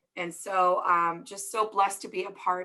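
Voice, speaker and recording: A woman speaks with a bright, sharp tone. Her intonation is fairly even. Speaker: orthodontist, event moderator. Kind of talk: panel moderation. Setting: video call.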